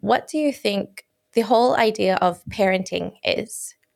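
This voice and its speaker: Speaking at a fairly high pitch with an Australian accent, a woman keeps her intonation fairly even. The recording is very clean, with a silent background. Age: 20s. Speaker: podcast host. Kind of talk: interview.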